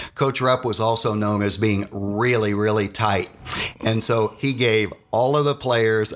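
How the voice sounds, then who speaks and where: Over noticeable background noise, a man at a medium pitch talks at a fairly slow pace with fairly even intonation. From Indiana, Muncie area. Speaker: former college basketball player. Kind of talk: interview storytelling.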